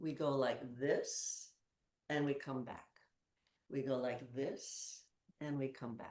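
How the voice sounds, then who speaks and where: A soft-spoken woman talks very slowly in a very deep, low pitch with monotone, flat intonation. She leaves long, frequent pauses. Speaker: movement educator. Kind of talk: guided exercise class.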